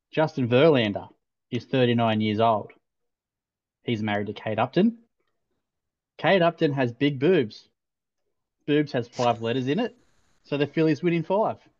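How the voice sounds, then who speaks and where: A man with an Australian accent speaks at a medium pitch. His intonation is lively, broken by long, frequent pauses. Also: moderate pace. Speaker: podcast co-host. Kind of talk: casual chat. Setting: video call.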